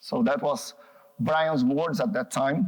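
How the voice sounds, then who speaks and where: With a Brazilian accent, a man talks at a fairly slow pace using lively intonation. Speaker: psychoanalyst and researcher. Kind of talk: public talk. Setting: gallery talk with audience. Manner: halting.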